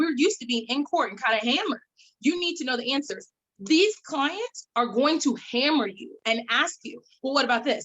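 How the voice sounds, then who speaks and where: This woman has a high pitch and a lively intonation at a fairly quick pace. Her tone is animated. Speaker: attorney. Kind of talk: panel presentation. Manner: fast.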